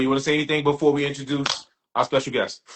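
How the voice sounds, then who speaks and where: A man is speaking. He has a New York accent. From Brooklyn, New York. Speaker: podcast host. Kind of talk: casual chat. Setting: livestream.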